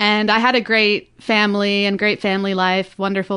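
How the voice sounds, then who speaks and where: Speaking at a moderate pace, a woman with an American accent uses a medium pitch, a bright, sharp tone, and monotone, flat intonation. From Orange County, California. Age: 20s. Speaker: podcast listener sharing her story. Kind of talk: personal testimony. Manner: halting, many fillers.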